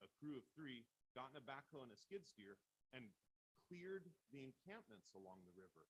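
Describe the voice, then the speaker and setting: A man talks loudly at a moderate pace. His pitch swings very widely. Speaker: city council candidate. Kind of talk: candidate forum statement.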